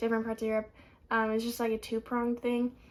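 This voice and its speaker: A woman speaks with an American accent at a fairly high pitch. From United States. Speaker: student vlogger. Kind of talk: casual vlog.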